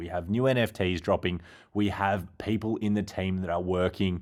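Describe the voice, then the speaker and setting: A man with an Australian accent speaks in a fairly low pitch and an enthusiastic tone. The recording is very clean, with a silent background. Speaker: crypto YouTuber. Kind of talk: video commentary.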